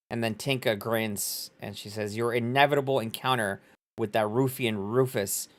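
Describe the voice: In quiet surroundings, a text is read aloud plainly.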